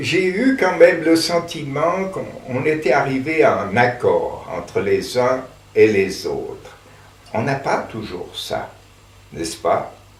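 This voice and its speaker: A man speaking very slowly through noticeable background noise. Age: 80s+. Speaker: theatre director. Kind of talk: interview answer.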